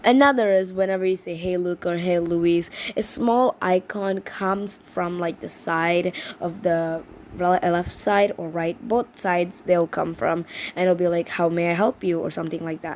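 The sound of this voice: Using fairly even intonation, a woman speaks at a fairly low pitch with a slightly mellow tone. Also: moderate pace.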